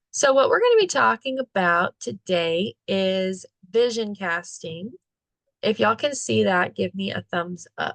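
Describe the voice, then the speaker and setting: Dry and close with no echo, a woman's medium-pitched voice moves at a fairly slow pace with very wide swings in pitch. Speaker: online meetup host. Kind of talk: live online talk. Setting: video call.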